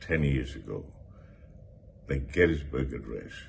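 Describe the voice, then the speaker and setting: This man's very deep, low voice carries vocal fry and moves at a moderate pace. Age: 80s+. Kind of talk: casual talk to camera.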